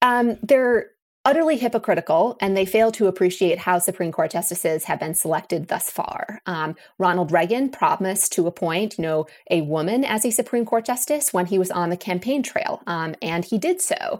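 With a plain, everyday voice, a woman speaks at medium pitch and a moderate pace, her intonation lively. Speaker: law professor. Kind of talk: interview.

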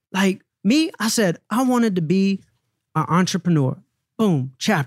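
Against a silent background on a very clean recording, a man with a high voice and a Southern US accent sounds energetic and confident, with lively intonation. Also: dry, close sound with no echo. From US South. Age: 30s. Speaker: former music manager turned endurance athlete. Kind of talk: casual interview. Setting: studio.

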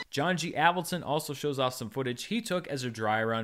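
At a moderate pace and medium pitch, a man with a plain, everyday voice talks with lively intonation in a very clean recording with a silent background. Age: 30s. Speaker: movie podcast host. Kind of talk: casual chat.

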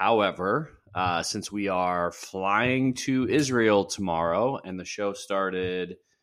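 A man's fairly low voice, a plain, everyday voice, with ordinary pitch variation at a fairly slow pace, on a very clean recording with a silent background. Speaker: host's husband. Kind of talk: casual banter. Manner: jokingly puts on deep voice.

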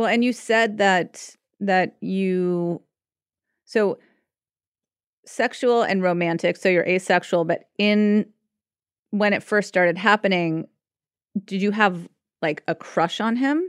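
Very clean and silent in the background, with a dry, close sound and no echo, a woman speaks at a medium pitch and a very slow pace, using ordinary pitch variation and long, frequent pauses. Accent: American. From Los Angeles, US. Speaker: psychotherapist. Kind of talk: casual chat.

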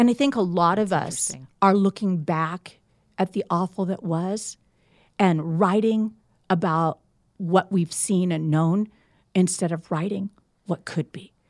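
A woman with an American accent talks fairly slowly at medium pitch, with ordinary pitch variation, big swings in loudness and long, frequent pauses. The recording is very clean and dry, with a silent background and no echo. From US Midwest, Indiana. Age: 60s. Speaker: author and pastor. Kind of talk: casual interview.

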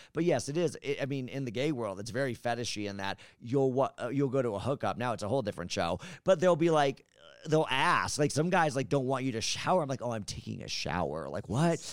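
Lively in intonation and marked by vocal fry, a man speaks at a medium pitch and a very fast pace. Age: 40s. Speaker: retired YouTuber. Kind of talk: casual chat. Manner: animated.

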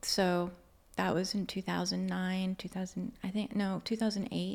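The soft-spoken voice comes through on a very clean recording with a silent background. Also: woman. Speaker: Reiki practitioner and Akashic Records channel. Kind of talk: casual interview chat.

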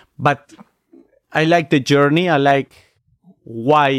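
A man with a Spanish accent speaks at a fairly high pitch. The recording is very clean with a silent background, dry and close with no echo. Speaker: magician. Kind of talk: casual chat. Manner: halting non-native English.

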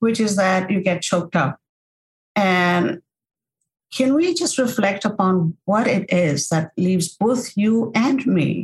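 A woman's somewhat breathy voice at a very slow pace, with lively intonation and very even loudness. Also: medium pitch for a woman. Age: 60s. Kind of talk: podcast interview.

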